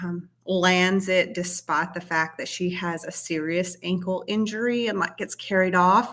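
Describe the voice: Fairly low in pitch and fairly bright in tone, a woman speaks with fairly even intonation.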